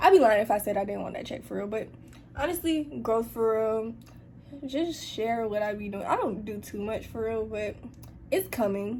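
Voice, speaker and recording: There is audible room echo as a woman speaks at a moderate pace in a fairly high pitch with ordinary pitch variation. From Atlanta, US South. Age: young. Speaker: YouTuber and college student. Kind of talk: casual Q&A chat. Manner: casual, conversational.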